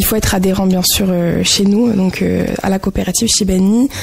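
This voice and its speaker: Against noticeable background noise, a woman speaks at a medium pitch. She keeps a fairly slow pace and fairly even intonation. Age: 20s. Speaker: association volunteer. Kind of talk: radio interview.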